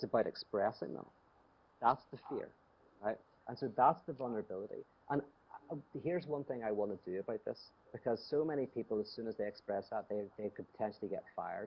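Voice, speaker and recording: A man speaks very fast in a Northern Irish accent, with long, frequent pauses. His pitch is medium, with ordinary variation. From Northern Ireland, Belfast. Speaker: theologian and speaker. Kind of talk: talk with Q&A. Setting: video call from home. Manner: conversational, with frequent fillers.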